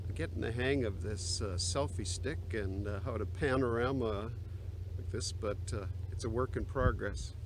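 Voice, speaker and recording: A man with a very deep, low pitch speaks at a moderate pace, somewhat breathy with ordinary pitch variation, in a dry sound with no echo but noticeable background noise. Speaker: pastor. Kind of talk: casual vlog chat. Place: open country. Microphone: phone near.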